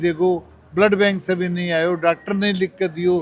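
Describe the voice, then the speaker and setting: Over music in the background, the speech keeps a fairly even intonation. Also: man. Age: 70s. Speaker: medical camp organizer. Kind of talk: interview.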